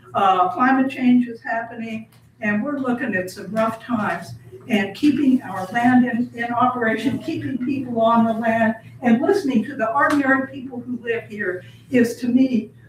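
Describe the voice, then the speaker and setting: With an American accent, a woman talks at a moderate pace in a high voice over noticeable background noise. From southern Indiana. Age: 80s+. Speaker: public commenter at county meeting. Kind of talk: public comment.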